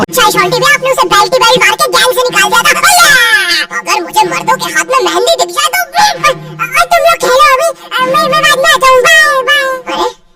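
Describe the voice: A cartoonish character voice shouts at a moderate pace over loud background noise.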